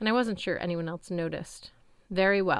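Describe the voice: This clip is plain reading aloud. Nothing else is described.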